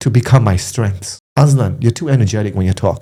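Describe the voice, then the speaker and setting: The voice belongs to a man, dark and mellow in tone. It sounds somewhat breathy. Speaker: podcast co-host. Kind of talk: casual chat. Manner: fast; energetic.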